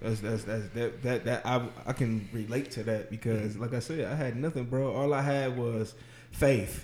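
A man's plain, everyday voice, medium in pitch, at a moderate pace with fairly even intonation. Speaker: podcast host. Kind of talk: casual chat. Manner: casual, slangy.

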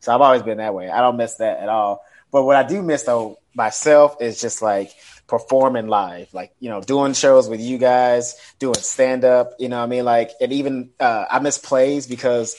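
This man has an unremarkable speaking voice, pitched in the medium range. He talks at a moderate pace with ordinary pitch variation. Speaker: comedian. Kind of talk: casual roundtable chat. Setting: video call.

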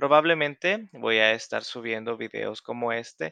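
Speaking very slowly with a Salvadoran accent, a man has a bright, sharp tone at medium pitch, recorded dry and close with no echo against a quiet background. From El Salvador. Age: 30s. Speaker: language tutor and podcaster. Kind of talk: casual self-introduction to learners.

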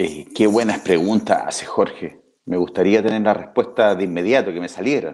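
A man with a plain, everyday voice speaks at a moderate pace and fairly low pitch, with ordinary pitch variation. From Chile, Talca. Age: 50s. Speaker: comedian and writer. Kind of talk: casual interview.

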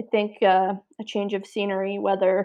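In an Ontario accent, a woman speaks at a moderate pace. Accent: Canadian (Ontario). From Niagara region, Ontario, Canada. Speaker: podcast host, food business co-founder. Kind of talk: casual interview. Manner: hesitant, many fillers.

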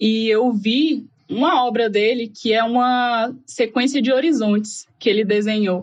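A woman's fairly high, normal speaking voice at a fairly slow pace, with ordinary pitch variation. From Goiás interior, Brazil. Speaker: biologist. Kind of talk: casual chat.

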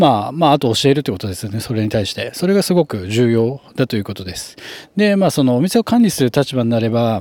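A man talks at a very fast pace with a medium pitch. His pitch swings very widely. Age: 30s. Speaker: hairdresser and salon manager. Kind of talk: solo podcast monologue. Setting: at work in the salon. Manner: casual with frequent fillers.

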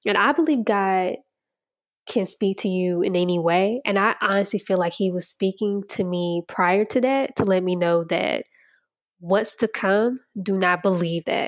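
On a very clean recording with a silent background, a woman speaks in a normal speaking voice at a medium pitch, with fairly even intonation and a moderate pace. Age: 20s. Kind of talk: personal monologue, faith testimony. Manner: casual, conversational with laughter.

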